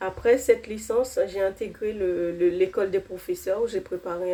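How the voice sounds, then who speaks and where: Noticeable background noise accompanies a woman speaking with a non-native accent. Her medium-pitched voice moves at a fairly slow pace in a monotone, flat intonation. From outside France, arrived at fifteen. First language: not French (speaking French). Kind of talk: testimony. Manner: hesitant, many fillers.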